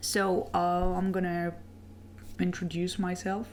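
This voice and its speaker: A woman speaks with a French accent. Room echo is audible. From France. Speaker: webcomic artist and animator. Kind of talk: casual Q&A video. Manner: hesitant, many fillers.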